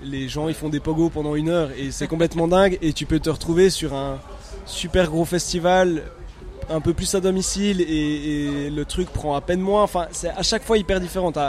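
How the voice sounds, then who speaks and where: A man's fairly high voice at a moderate pace, fairly even in intonation, over noticeable background noise. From Switzerland, Neuchâtel. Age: 30s. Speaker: electronic music producer. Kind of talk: casual interview. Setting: music festival. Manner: halting.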